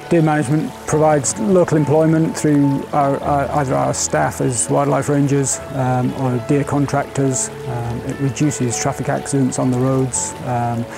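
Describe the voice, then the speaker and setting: A man talks at a moderate pace with ordinary pitch variation. Clear music plays in the background, and the sound is dry with no echo. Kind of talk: interview answer. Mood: calm and explanatory. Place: open country.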